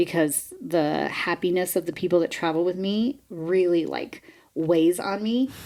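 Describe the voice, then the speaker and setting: A woman's fairly low voice with lively intonation. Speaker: podcast co-host. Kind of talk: casual chat. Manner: fast.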